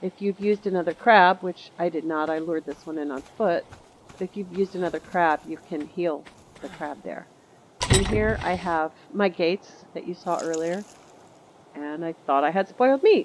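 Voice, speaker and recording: Over noticeable background noise, a woman speaks at a moderate pace in a fairly low voice with ordinary pitch variation. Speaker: gamer. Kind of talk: gameplay tutorial commentary. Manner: casual.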